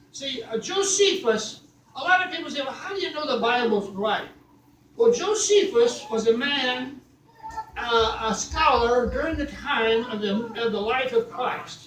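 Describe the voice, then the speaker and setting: Extremely high pitch from a man, with lively intonation, a fairly slow pace and noticeable background noise. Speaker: church guest speaker, preacher. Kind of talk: sermon, preaching to a congregation.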